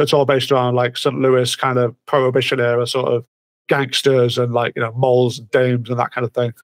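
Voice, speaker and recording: A man with a British accent at medium pitch, fairly quick, in a monotone with flat intonation, dry and close with no echo. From Britain. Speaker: comic writer and musician. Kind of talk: casual interview chat. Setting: remote call at night.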